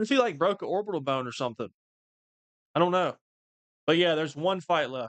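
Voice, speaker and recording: Speaking very fast with an animated tone and lively intonation, a man with a high pitch leaves long, frequent pauses. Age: 20s. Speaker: MMA livestreamer. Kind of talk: live fight watch-along commentary.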